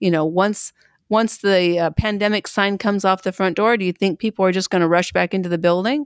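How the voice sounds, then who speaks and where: A woman's unremarkable speaking voice at medium pitch with ordinary pitch variation, dry and close with no echo, on a very clean recording against a silent background. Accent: American. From US Pacific Northwest, Pendleton, Oregon. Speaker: Salvation Army officer and national treasurer. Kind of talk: interview.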